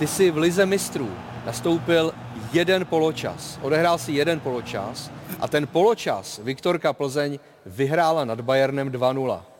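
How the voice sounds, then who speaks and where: A man with a fairly high pitch and ordinary pitch variation talks at a fairly slow pace against noticeable background noise. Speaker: talk show host. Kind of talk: football talk show. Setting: studio with live audience.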